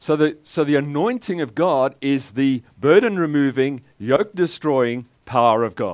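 At a very slow pace with hardly any pauses, a man with a fairly high pitch talks with lively intonation. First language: English (speaking German). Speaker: guest preacher. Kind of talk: sermon with live interpretation.

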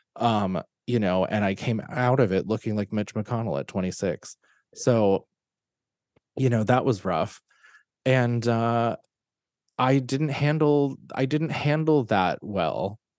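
Man at a medium pitch with ordinary pitch variation, very slow pace and long, frequent pauses, in a dry, close sound with no echo. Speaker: author and actor. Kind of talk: casual interview.

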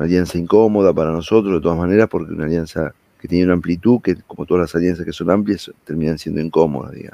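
A man's very deep, low-pitched voice in a dark, mellow tone, very fast, with fairly even intonation and hardly any pauses. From Argentina, Greater Buenos Aires (Avellaneda). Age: 50s. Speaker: politician. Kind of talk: interview. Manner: halting, many repetitions.

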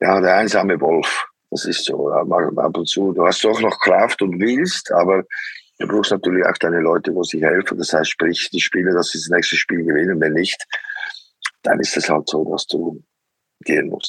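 A man at a moderate pace with long, frequent pauses, recorded in a dry, close sound with no echo. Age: 60s. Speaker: football coach. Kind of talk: interview. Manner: halting.

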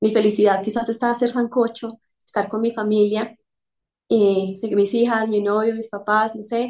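Against a quiet background, a woman speaks at a fairly high pitch in a monotone, flat intonation. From Colombia, Quimbaya. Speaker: corporate executive. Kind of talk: casual interview.

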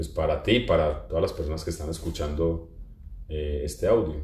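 A man talks at a fairly quick pace amid audible room echo. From Colombia. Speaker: social communicator and journalist. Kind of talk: casual chat. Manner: halting, many repetitions and fillers.

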